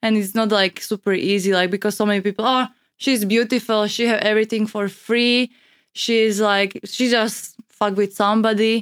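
In a Slovak accent, a woman speaks at a fairly high pitch and a moderate pace with monotone, flat intonation and very even loudness, the sound dry and close with no echo. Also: very clean recording, silent background. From Slovakia. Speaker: model and content creator. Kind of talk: casual chat. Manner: halting.

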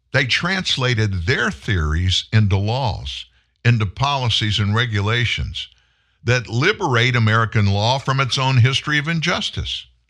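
A man with a Southern US accent speaks at a medium pitch and a moderate pace, his tone bright and sharp and his intonation lively. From US South. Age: 70s. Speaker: talk show host. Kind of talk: political talk monologue. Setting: studio. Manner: animated.

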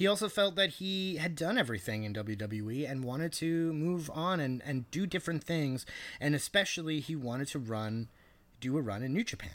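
This is a man with an ordinary speaking voice and a fairly high pitch. He talks at a fairly quick pace on a very clean recording with a silent background. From Canada, Persian background. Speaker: wrestling podcast co-host. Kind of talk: casual chat.

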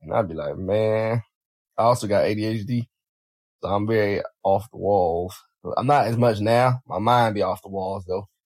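In a dry, close recording with no echo, a man with a fairly low voice speaks at a fairly slow pace with fairly even intonation and long, frequent pauses. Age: 20s. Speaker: podcast host and firefighter. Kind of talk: casual monologue.

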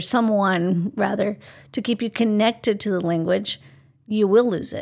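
A woman's fairly high voice in a Spanish accent, on a very clean recording with a silent background. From Colombia. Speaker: bilingual parenting author and podcast co-host. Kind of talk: casual chat.

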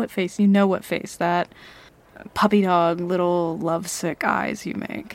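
Speaking at a fairly slow pace, a woman has a plain, everyday voice, fairly low in pitch, with fairly even intonation. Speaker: ASMR roleplay audio creator. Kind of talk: ASMR roleplay, intimate flirty scripted-sounding scene. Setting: ASMR audio roleplay addressed to a listener. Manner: teasing, playful, possessive, flirty with laughs and pauses.

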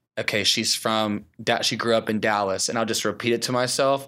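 Here is a plain, everyday voice at a moderate pace with fairly even intonation, on a very clean recording with a silent background. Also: man. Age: 20s. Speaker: creative producer and church leader. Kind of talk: interview.

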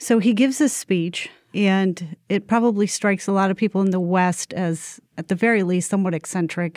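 A woman speaks at medium pitch in a normal speaking voice. The recording is very clean with a silent background and a dry, close sound with no echo. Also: ordinary pitch variation, moderate pace, hardly any pauses. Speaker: podcast host. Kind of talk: interview discussion.

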